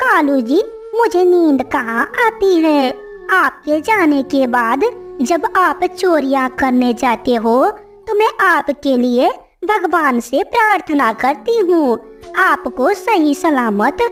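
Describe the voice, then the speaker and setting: A female-sounding, high-pitched cartoonish character voice speaks very slowly over clear background noise. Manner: wheedling, sugary.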